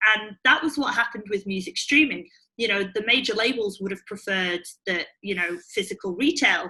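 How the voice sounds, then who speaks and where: Someone with a British accent talks at a fairly quick pace, with ordinary pitch variation. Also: woman. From UK. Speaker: startup CEO and co-founder. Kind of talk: interview.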